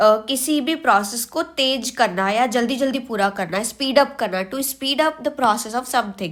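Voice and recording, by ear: A woman with a high voice talks at a fairly slow pace with ordinary pitch variation and few pauses. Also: fairly bright tone.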